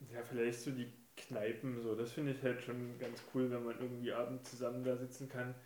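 A man speaks at a fairly quick pace with a medium pitch and monotone, flat intonation. Noticeable background noise and audible room echo surround him. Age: 30s. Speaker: guest, childhood friend of the host. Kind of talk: casual chat.

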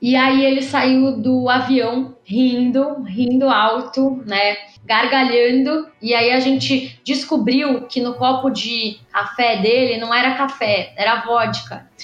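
Speaking at a very slow pace with hardly any pauses, a woman holds a high pitch, very even loudness and monotone, flat intonation, amid noticeable background noise and audible room echo. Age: 20s. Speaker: political activist and candidate. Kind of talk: casual interview. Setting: online call.

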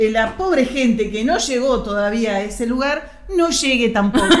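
A woman's fairly high voice in a Rioplatense accent, ordinary pitch variation, audible room echo. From Argentina, western Buenos Aires area. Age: 50s. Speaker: teacher and film columnist. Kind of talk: casual chat.

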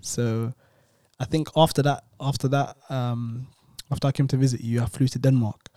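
Medium-pitched and dark, mellow in tone, a man with a London accent keeps his intonation fairly even in a dry, close sound with no echo. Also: moderate pace. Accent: London multicultural English. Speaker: podcast co-host. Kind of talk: casual chat. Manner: repeats words, stammering starts.

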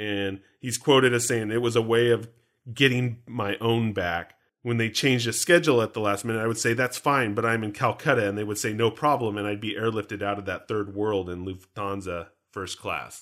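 A man with a Canadian accent and an unremarkable speaking voice, medium pitch with ordinary variation, fairly quick pace, in a very clean recording with a silent background. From Canada. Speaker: podcast host. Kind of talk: casual chat.

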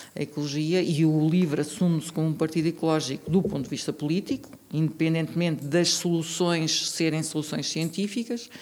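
The speaker talks at a fairly quick pace with fairly even intonation. There is noticeable background noise. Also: woman, very deep, low pitch for a woman. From central Portugal, Tomar. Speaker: local election candidate, geologist. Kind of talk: interview.

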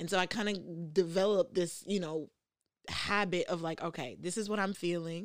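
A woman's medium-pitched voice with a New York accent, fairly quick and fairly even in intonation. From New York, the Bronx. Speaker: podcast host. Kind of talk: casual chat. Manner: halting with frequent fillers.

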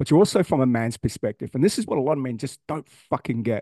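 Over a quiet background, a man speaks at medium pitch with an Australian accent. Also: dry, close sound with no echo. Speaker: podcast host. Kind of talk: angry rant, profane and blunt, driving home tough-love points. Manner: loud, forceful, heated, swearing for emphasis.

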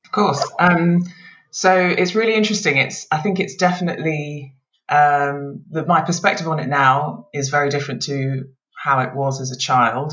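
In a British accent, a woman speaks at a moderate pace with a very deep, low pitch and ordinary pitch variation. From UK (Scotland then England), Nigerian parents. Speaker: lawyer. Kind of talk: casual interview.

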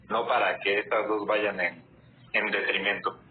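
A man's fairly slow speech amid noticeable background noise. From Mexico City. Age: 20s. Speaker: network marketing entrepreneur. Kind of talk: casual live stream chat. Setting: online live video stream.

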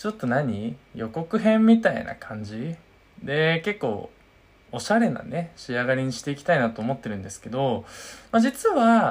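Delivered at a moderate pace, the speech sits on a very clean recording with a silent background. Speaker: podcast host. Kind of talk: casual chat.

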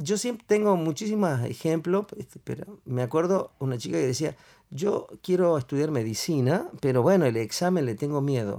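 A man's fairly high voice has a dark, mellow tone and lively intonation, moving at a moderate pace on a very clean recording with a silent background. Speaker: NLP trainer. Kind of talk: casual chat.

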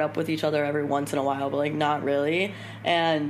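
Speaking in an American accent, a woman with a very deep, low pitch keeps a moderate pace amid audible room echo and noticeable background noise. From Miami, Florida. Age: 20s. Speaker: podcast host, wellness brand founder. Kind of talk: casual chat. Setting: home studio apartment.

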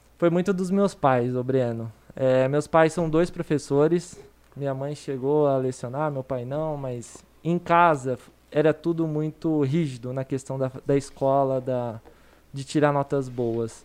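A man's plain, everyday voice, fairly high in pitch, at a fairly slow pace. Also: fairly even intonation. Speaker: financial educator. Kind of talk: casual chat.

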